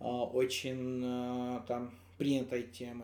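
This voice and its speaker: A man is speaking. He has a Georgian accent. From Georgia, Kakheti. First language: Georgian (speaking Russian). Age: 20s. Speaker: musician and stage technician. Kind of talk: casual interview chat. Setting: in-person recording. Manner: halting, many fillers.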